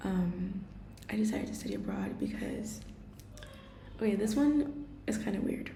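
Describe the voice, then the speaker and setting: A woman talks with audible echo from the room around her. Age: 20s. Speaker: vlogger and art student. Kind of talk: personal vlog. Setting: kitchen at home. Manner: casual, hesitant.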